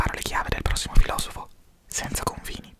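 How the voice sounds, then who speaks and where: Whispering, a man speaks at a moderate pace. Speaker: philosophy content creator. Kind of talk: soft-spoken ASMR storytelling. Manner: soft, close-mic ASMR murmur. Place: home room. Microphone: studio mic.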